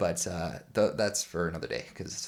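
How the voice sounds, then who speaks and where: A man with a Canadian accent talks at a moderate pace. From Canada. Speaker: guitarist and music YouTuber. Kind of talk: casual tutorial chat. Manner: rambling, filler-heavy.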